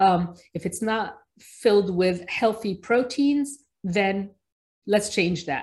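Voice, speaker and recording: With an American accent, a woman speaks at a very slow pace and medium pitch, with ordinary pitch variation, against a quiet background. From Egypt, raised mainly in New Jersey. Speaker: pediatrician. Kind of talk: interview.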